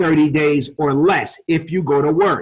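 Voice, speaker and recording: This man has a New York accent and a fairly high pitch. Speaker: network marketing presenter. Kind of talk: webinar sales presentation. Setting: online webinar call. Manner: fast.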